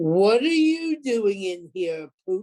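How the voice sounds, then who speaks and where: In a put-on character voice, the speaker stays at a middle pitch with very wide pitch swings. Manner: menacing.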